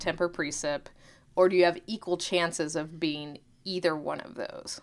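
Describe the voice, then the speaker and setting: A woman with an American accent speaks at a moderate pace in an ordinary speaking voice, her pitch fairly low, on a very clean recording with a silent background. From Oklahoma. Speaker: podcast co-host, meteorologist. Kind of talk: casual educational chat.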